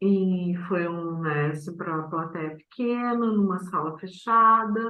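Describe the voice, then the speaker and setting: A woman speaks at a very slow pace. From southern Brazil, Vale do Taquari, Rio Grande do Sul. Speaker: poet and performer. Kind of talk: interview. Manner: very slow speech.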